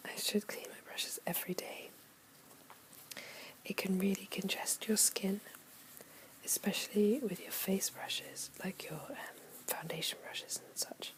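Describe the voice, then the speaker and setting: Whispering at a moderate pace, with long, frequent pauses and noticeable background noise. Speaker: ASMR creator. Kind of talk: ASMR soft-spoken. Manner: soft-spoken.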